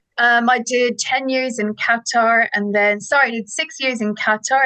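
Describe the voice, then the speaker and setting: A woman speaks at a moderate pace in an Irish accent. Her tone is bright and sharp. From Ireland, Dublin. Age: 40s. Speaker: ed-tech co-founder, former teacher. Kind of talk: interview. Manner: enthusiastic.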